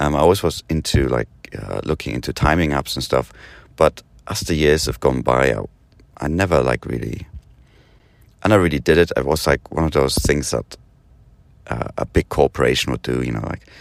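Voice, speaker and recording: A man's very deep, low voice with vocal fry, ordinary pitch variation, a fairly quick pace and long, frequent pauses. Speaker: podcast host. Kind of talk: casual monologue. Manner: halting, many fillers.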